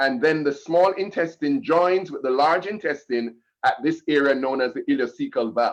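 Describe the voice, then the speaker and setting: Speaking at a moderate pace, a man with an ordinary speaking voice and a fairly high pitch uses lively intonation. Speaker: health educator. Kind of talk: health lecture.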